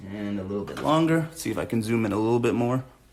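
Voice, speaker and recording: A man at medium pitch, lively in intonation and fairly quick in pace, with audible room echo. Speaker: art teacher for kids. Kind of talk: live drawing tutorial. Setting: live stream from home. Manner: fast.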